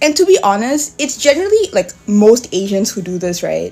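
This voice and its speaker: A woman speaks in an animated tone. Music plays in the background. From Singapore. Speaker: content creator. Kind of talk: casual rant.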